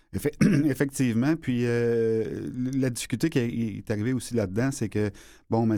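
A man speaks with a dark, mellow tone at a medium pitch with ordinary variation. His pace is fairly slow, and the recording is very clean with a silent background. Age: 50s. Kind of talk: interview. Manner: halting.

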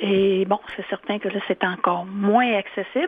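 An ordinary speaking voice with fairly even intonation. The pace is fairly slow. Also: woman. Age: 60s. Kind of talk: interview.

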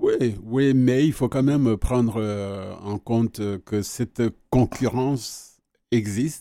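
In a very clean recording with a silent background, a man with a dark, mellow tone and medium pitch speaks at a very slow pace, using fairly even intonation and long, frequent pauses. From Rwanda. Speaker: retired journalist. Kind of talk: radio interview. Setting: studio.

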